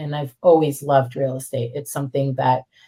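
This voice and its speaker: A woman with an American accent, her very deep, low voice flat and monotone at a fairly quick pace. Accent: American-sounding. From Israel, English-speaking environment. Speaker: real estate investor. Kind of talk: podcast interview.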